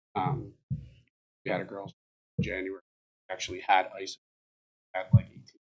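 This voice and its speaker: With fairly low pitch and fairly even intonation, a man speaks with long, frequent pauses and big swings in loudness. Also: moderate pace. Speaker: youth hockey association director. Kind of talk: public comment at city board meeting.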